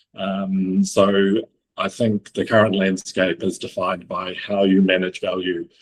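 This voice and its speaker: A man with a New Zealand accent speaks slowly-ish in a fairly low, flat monotone. The sound is dry and close, with no echo. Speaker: logistics executive. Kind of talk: panel interview. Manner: hesitant with many fillers.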